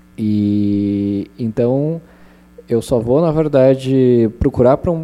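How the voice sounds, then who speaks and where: The man's voice has a dark, mellow tone. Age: 20s. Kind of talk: panel talk at public event.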